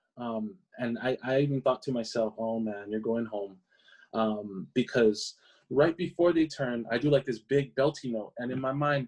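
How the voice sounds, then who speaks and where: A man speaks with a Hawaiian accent at a medium pitch. His pace is moderate and his pitch variation ordinary. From Hawaii (Maui, Oahu). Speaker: singer. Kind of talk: interview answer.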